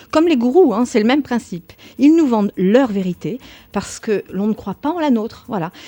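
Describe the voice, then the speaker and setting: A woman with a dark, mellow tone talks at a moderate pace, her pitch swinging very widely. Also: fairly high pitch for a woman. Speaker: radio show host. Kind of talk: radio talk on personal growth. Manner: slight stammer, stumbles on words.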